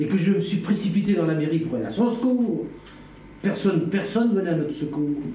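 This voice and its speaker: With audible room echo, a man talks at a fairly quick pace and ordinary pitch variation. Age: 60s. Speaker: witness recounting past events. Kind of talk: testimony. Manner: halting.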